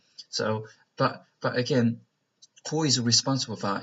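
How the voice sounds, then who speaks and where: With a Chinese accent, a man talks at a moderate pace in a medium pitch with fairly even intonation. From China. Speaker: vlogger. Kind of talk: casual monologue vlog. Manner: halting, many fillers.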